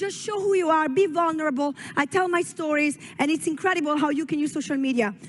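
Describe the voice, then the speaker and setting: In an Italian accent, a woman with a high pitch talks at a very fast pace in an animated tone with ordinary pitch variation, over noticeable background noise. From Italy. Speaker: network marketing leader. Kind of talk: motivational speech. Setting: stage at a company expo.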